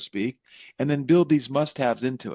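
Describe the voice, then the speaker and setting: A man's dark, mellow tone at a very fast pace over a quiet background. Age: 60s. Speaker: tech company founder and CEO. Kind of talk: podcast interview. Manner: animated, frequent self-corrections.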